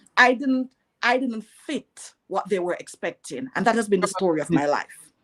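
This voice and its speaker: A woman with a Jamaican accent speaks at a moderate pace and fairly high pitch with lively intonation, in a dry, close sound with no echo. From Jamaica (rural, Bath, St Thomas). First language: Jamaican Patois. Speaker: entrepreneur. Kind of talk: interview.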